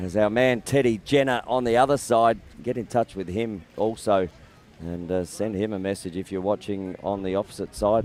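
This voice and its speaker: A man's fairly low voice comes in an Australian accent. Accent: thick Australian. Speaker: lacrosse commentator. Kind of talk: live commentary.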